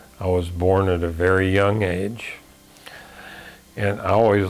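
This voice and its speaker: Speaking at a very slow pace, a man with a Midwestern American accent has a very deep, low pitch. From US Midwest, Illinois. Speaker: navy veteran. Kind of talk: personal life story. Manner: halting, many fillers.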